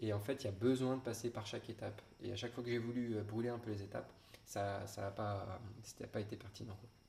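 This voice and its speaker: A man with a fairly low voice talks at a fairly quick pace in a monotone, flat way, with noticeable background noise. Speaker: guitar teacher. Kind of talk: webinar talk. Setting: online webinar. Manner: hesitant, many fillers.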